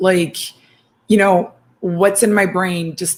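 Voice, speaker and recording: Her voice is fairly low-pitched and somewhat breathy, with fairly even intonation and a non-native accent. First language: not English. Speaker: writing chat co-host. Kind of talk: casual chat. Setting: livestream.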